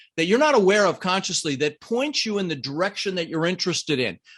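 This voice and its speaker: A man talks at a fairly quick pace in an energetic tone, high in pitch with very wide pitch swings. The background is quiet. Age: 60s. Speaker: real estate investor and coach. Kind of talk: podcast interview.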